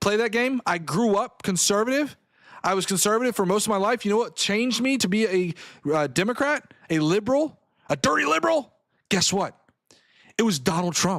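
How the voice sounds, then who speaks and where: Speaking at a fairly quick pace with an American accent, a man uses a high pitch, lively intonation and an animated tone, his loudness very even on a very clean recording with a silent background. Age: 30s. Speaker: political commentator. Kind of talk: livestream commentary reading chat.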